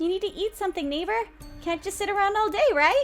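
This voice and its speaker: A female-sounding put-on character voice at an extremely high pitch and very fast pace, with clear music in the background. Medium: game stream.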